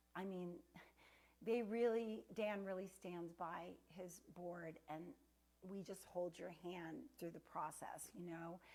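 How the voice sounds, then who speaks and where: At a very slow pace with long, frequent pauses, a woman speaks in a dark, mellow tone, her pitch fairly low and her intonation fairly even. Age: 60s. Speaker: fitness instructor. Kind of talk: sales pitch; fitness class.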